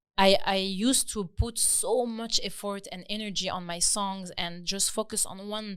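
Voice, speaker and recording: The speaker has a French accent. The recording is very clean, with a silent background. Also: woman. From France, Lebanese family. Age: 30s. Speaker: singer. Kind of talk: podcast interview.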